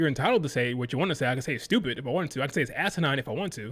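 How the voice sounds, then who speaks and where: On a very clean recording with a silent background, a man speaks loudly with very wide pitch swings. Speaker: wrestling streamer. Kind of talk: live stream reaction rant. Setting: live stream. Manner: animated.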